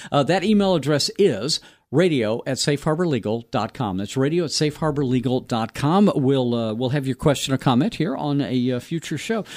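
A man's unremarkable speaking voice, fairly high in pitch, with lively intonation, a moderate pace and hardly any pauses, on a very clean recording with a silent background. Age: 60s. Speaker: radio host. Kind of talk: radio talk show. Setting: radio studio.

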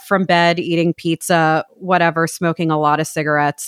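With an American accent and an ordinary speaking voice, a woman talks at a moderate pace and a fairly low pitch, on a very clean recording with a silent background and a dry, close sound with no echo. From New York, Brooklyn. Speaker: podcast guest. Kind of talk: casual chat.

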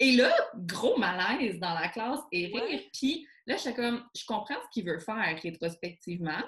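A woman talks at a fairly slow pace and a fairly high pitch. Her pitch swings very widely. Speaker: columnist and documentary host. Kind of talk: casual chat. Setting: video call.

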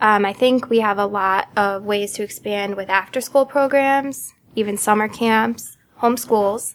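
A woman with an American accent talks in a normal speaking voice. Her pitch is fairly high, her intonation fairly even, and her pace fairly slow. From Connecticut. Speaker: startup co-founder. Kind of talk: interview.

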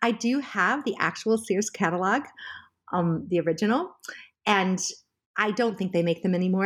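Speaking at a moderate pace with an American accent, a woman has an unremarkable speaking voice at medium pitch with ordinary pitch variation, on a very clean recording with a silent background. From California, US. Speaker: journalism professor and memoir author. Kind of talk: interview about her memoir.

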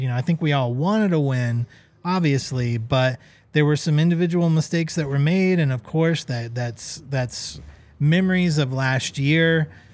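With a normal speaking voice, a man talks at a moderate pace with ordinary pitch variation. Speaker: soccer podcast co-host. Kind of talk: casual chat.

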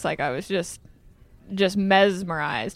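A woman's plain, everyday voice with an American accent, medium in pitch, at a moderate pace with fairly even intonation, on a very clean recording with a silent background. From Iowa. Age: 20s. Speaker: sprint car driver. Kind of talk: interview. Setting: museum.

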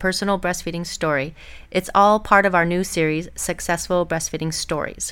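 A woman's unremarkable speaking voice at a medium pitch and a fairly quick pace. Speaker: podcast host and lactation consultant. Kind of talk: interview. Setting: studio.

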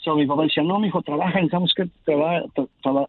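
Speech moves at a fairly quick clip. The pitch shifts in an ordinary manner. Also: man. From Mexico. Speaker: communications technician. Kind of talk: interview.

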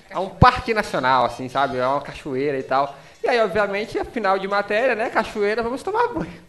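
A man speaks at a fairly quick pace in a high pitch, his voice swinging very widely up and down. Noticeable background noise sits behind him. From Brazil, Marabá, Pará. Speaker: podcast host. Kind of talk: casual chat.

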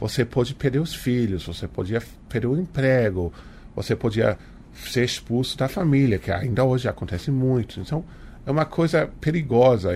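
At a moderate pace, a man speaks with lively intonation and a dark, mellow tone. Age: 40s. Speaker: author. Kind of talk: interview.

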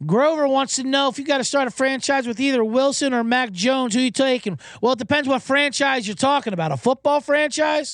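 In an American accent, a man with an extremely high pitch speaks in an animated tone at a fairly quick pace, with ordinary pitch variation and hardly any pauses. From New Jersey. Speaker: sports betting podcast host. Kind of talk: casual solo commentary. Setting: solo livestream studio. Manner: fast.

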